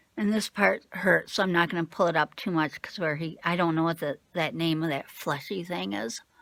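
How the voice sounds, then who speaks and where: A woman's fairly low voice with vocal fry, ordinary pitch movement, a moderate pace and hardly any pauses. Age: 50s. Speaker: craft vlogger. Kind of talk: casual vlog. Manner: hesitant, many fillers.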